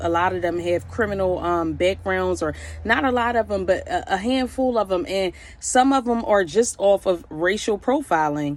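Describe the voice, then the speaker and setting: A woman's voice with lively intonation at a moderate pace. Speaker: vlogger. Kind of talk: casual monologue. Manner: calm.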